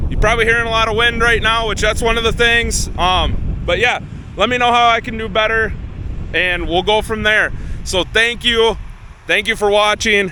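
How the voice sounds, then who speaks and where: Over noticeable background noise, a man projects a raised, high-pitched voice with fairly even intonation. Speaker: farmer. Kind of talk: casual vlog talk. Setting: outdoors in a field. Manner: fast.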